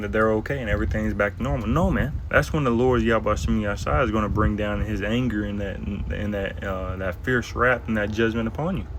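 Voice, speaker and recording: Soft-spoken, a man talks at a moderate pace with lively intonation. Audible room echo and noticeable background noise surround his voice. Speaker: bible teacher. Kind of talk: bible lesson. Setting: outdoors.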